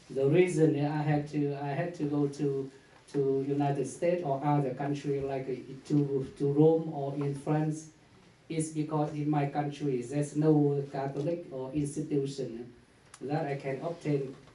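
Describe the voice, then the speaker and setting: Speaking in a Vietnamese accent, a man with a fairly high pitch uses monotone, flat intonation at a fairly slow pace, with audible room echo. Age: 40s. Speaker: priest. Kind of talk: conference talk. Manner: halting.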